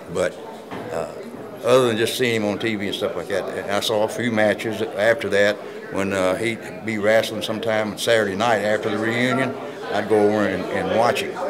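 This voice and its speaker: A man talks at a fairly quick pace in a fairly low pitch, his intonation monotone and flat. Noticeable background noise and audible room echo surround his voice. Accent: Southern US. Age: 70s. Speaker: retired pro wrestler. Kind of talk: interview. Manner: halting.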